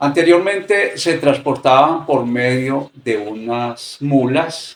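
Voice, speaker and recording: The speaker is a man with a medium pitch. Its variation stays ordinary. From rural area. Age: 60s. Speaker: interviewee. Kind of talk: interview.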